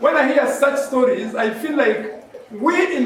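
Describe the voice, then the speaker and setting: A man talks loudly at an extremely high pitch. Noticeable background noise and audible room echo come through. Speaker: medical professional speaker. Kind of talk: public speech. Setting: hall with audience, PA system.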